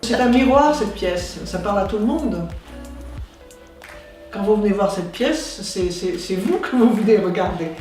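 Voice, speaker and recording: A woman speaks at a medium pitch with lively intonation and long, frequent pauses. Music plays in the background. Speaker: stage actress and director. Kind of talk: interview answer.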